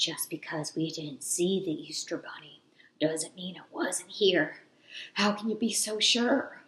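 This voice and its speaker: A woman's put-on character voice at medium pitch, delivered at a fairly slow pace. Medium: read story. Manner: jittery, excitable.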